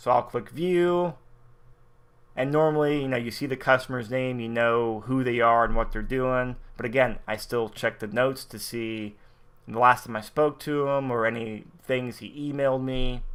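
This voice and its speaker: Speaking at a moderate pace, a man uses a normal speaking voice at medium pitch with fairly even intonation. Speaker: network marketing software trainer. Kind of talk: screen-share tutorial.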